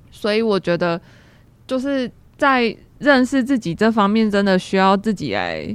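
This woman has a plain, everyday voice at a medium pitch, talking at a moderate pace with lively intonation against a quiet background. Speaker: university major selection advisor. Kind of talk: casual chat.

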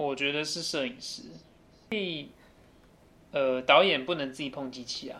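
A man with a fairly high, bright and sharp voice talks at a moderate pace with long, frequent pauses and big swings in loudness, with audible room echo. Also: ordinary pitch variation. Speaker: university student. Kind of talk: casual chat.

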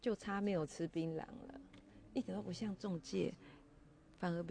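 In a Taiwanese accent, a woman speaks with a fairly low pitch and ordinary pitch variation. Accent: Taiwanese Mandarin. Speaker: podcaster. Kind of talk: casual solo monologue. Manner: animated. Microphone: first recording, poor quality, volume not adjusted.

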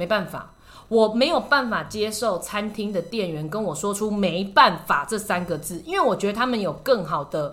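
A woman speaks in a Taiwanese accent at a medium pitch. Her intonation is lively. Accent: Taiwanese Mandarin. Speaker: podcast host and shopping channel presenter. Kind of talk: casual chat. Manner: animated.

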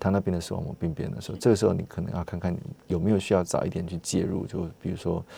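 Very fast speech comes from a man with a Taiwanese accent and a very deep, low pitch. His tone is dark and mellow, and the recording is very clean against a silent background. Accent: Taiwanese Mandarin. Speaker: ophthalmologist. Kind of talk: medical interview. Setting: studio. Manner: halting, many fillers.

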